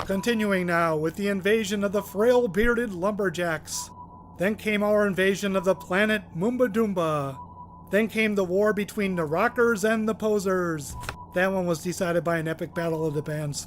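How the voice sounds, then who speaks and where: A man performs a put-on character voice. It is high-pitched, with clear background noise. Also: moderate pace. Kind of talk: comic mock broadcast. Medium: comedy sketch. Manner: chatty, sarcastic.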